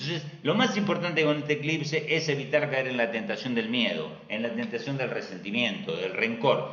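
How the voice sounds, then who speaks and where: With lively intonation and a fairly high pitch, a man speaks at a moderate pace amid noticeable background noise and audible room echo. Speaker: astrologer. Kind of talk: live stream talk.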